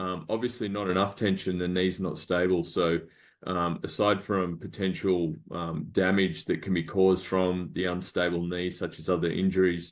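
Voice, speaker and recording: A man with an Australian accent talks at a moderate pace in a very deep, low pitch. His intonation is monotone and flat, over a quiet background. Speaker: medical device startup founder. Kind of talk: business pitch presentation. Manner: halting, many fillers.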